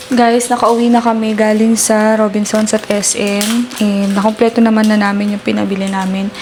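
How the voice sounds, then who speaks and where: With hardly any pauses, a woman speaks at a moderate pace and a fairly high pitch in a monotone, flat intonation amid noticeable background noise. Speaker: family vlogger. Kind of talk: casual vlog talk. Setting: at home. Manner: speaking quietly.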